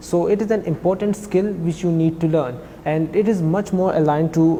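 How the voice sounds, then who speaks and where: A man with a high pitch, a moderate pace and fairly even intonation, amid noticeable background noise. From Pakistan, Khyber Pakhtunkhwa. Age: 20s. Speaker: financial auditor, former language student. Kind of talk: interview. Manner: halting, many fillers.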